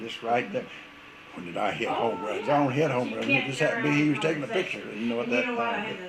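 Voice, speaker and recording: A man's fairly high voice at a very fast pace with very wide pitch swings, over noticeable background noise. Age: 80s+. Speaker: war veteran. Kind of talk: interview answer.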